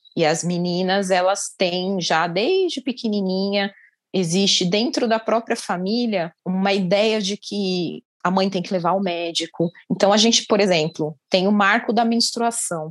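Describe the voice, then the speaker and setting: A woman speaks at a fairly slow pace in an ordinary speaking voice, her pitch medium with ordinary variation. The background is quiet. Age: 40s. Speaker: gynecologist. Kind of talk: interview.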